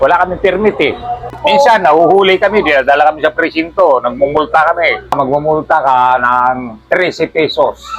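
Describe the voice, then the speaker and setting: With music in the background, a man talks at a moderate pace in a high pitch with lively intonation. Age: 70s. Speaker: street photographer. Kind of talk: interview.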